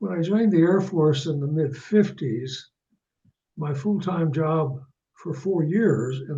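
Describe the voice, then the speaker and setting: The speaker has an American accent and lively intonation, talking fairly slowly. Room echo is audible. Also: man. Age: 80s+. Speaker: author. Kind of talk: interview. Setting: phone call.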